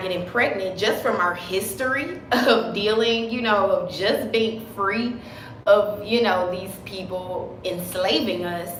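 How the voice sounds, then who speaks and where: A woman's medium-pitched voice, with fairly even intonation, carries audible room echo over noticeable background noise. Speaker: naturopathic herbalist. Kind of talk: live stream talk. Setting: live video stream. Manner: passionate.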